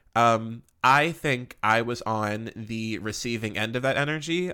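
A man speaks at a medium pitch in an animated, bright, sharp tone. The recording is very clean, with a silent background. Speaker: solo podcast host. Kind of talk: casual monologue. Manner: fast.

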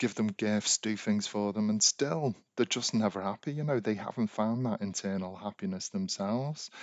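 A man with a British accent at a moderate pace. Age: 40s. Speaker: podcast host, life coach. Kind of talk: monologue podcast, advice.

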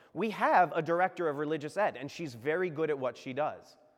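In an American accent, a man with a fairly high pitch and an ordinary speaking voice talks at a moderate pace. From Virginia. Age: 30s. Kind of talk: sermon. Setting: church.

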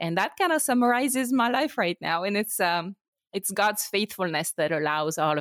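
On a very clean recording with a silent background and a dry, close sound with no echo, a woman speaks at a moderate pace in a medium pitch, her loudness very even while her pitch swings very widely. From France. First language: French. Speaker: podcaster and Bible teacher. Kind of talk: interview.

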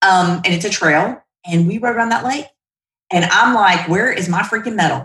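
A woman talks with a Southern US accent and ordinary pitch variation. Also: medium pitch for a woman, moderate pace. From US South, Shreveport, Louisiana. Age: 50s. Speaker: credit union CEO. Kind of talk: interview.

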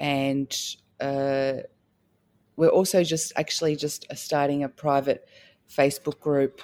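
A woman speaks with a very deep, low pitch and fairly even intonation. The sound is dry and close, with no echo. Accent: Australian. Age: 40s. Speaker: doctor of Chinese medicine. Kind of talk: testimony.

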